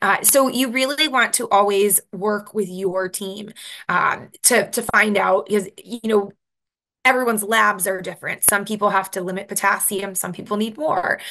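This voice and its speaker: With a western New York accent, a woman speaks at a moderate pace in a medium pitch, her tone bright and sharp and her pitch variation ordinary, against a quiet background. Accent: Rochester (western New York). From US, Rochester, New York. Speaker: dietitian. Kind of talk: presentation. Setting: video call.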